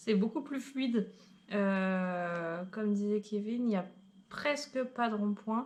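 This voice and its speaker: A woman with a fairly high, somewhat breathy voice speaks at a very slow pace, her loudness very even. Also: ordinary pitch variation. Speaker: travel vlogger. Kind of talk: casual chat.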